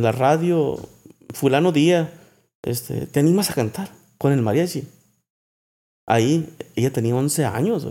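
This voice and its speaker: A man's fairly high voice with a dark, mellow tone and lively intonation. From Mexico, Sinaloa. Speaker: songwriter. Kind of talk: casual chat. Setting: at home.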